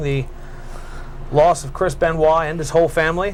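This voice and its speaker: Noticeable background noise sits behind a man's fairly high-pitched voice. His intonation stays monotone and flat. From York, Pennsylvania, USA. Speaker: cable access wrestling show host. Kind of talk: call-in radio-style show hosting.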